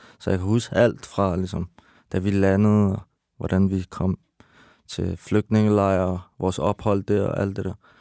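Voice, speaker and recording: Over a very clean recording with a silent background, a man talks at a fairly slow pace in a fairly low voice with a dark, mellow tone and monotone, flat intonation, the sound dry and close with no echo. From Iran, raised in Denmark from age 6. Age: 30s. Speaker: rapper. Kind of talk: casual chat. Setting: studio.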